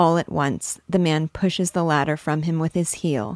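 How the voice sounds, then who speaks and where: Against a quiet background, a woman with a very deep, low voice speaks in a monotone, flat way at a moderate pace, the sound dry and close with no echo. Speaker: book commentator. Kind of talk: dramatic narration of the plot, hushed and intense, with a reverent literary-lecture tone. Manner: formal, articulate, reflective.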